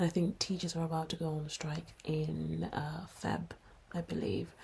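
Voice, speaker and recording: A woman speaks in a London accent. Her pace is moderate. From London, England. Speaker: podcast co-host, nurse. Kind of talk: casual chat.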